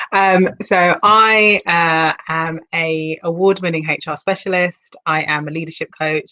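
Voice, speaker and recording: A woman with a British accent and a fairly low pitch. She speaks with hardly any pauses. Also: fairly even intonation, fairly slow pace. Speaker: HR consultant and leadership coach. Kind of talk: casual interview.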